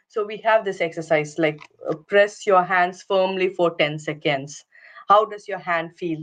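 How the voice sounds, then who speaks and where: Her pitch sits fairly low for a woman. She speaks at a moderate pace. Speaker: occupational therapist. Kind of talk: online workshop presentation. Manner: hesitant, many fillers.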